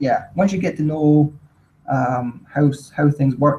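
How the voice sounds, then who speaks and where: A man speaks at a fairly slow pace with a fairly high pitch. His voice is somewhat breathy. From Scotland, Stirling. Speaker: English teacher abroad. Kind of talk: casual chat. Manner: hesitant, many fillers.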